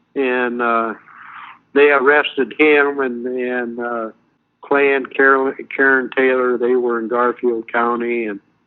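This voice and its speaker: A man with an American accent, medium-pitched, monotone and flat in intonation, at a fairly slow pace. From Montana. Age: 70s. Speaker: activist interviewee. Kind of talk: interview. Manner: halting, many fillers.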